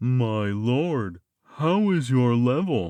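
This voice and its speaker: A man puts on a character voice pitched at a medium level. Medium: read story. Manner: formal, deferential.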